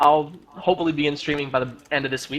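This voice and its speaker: There is noticeable background noise. Through it, a man talks in a fairly high pitch. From Israel. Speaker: esports co-caster. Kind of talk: live commentary.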